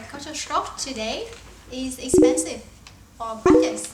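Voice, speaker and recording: Someone with a Vietnamese accent talks at a fairly slow pace with ordinary pitch variation. Noticeable background noise and audible room echo surround the voice. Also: woman. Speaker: talk show co-host. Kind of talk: casual chat.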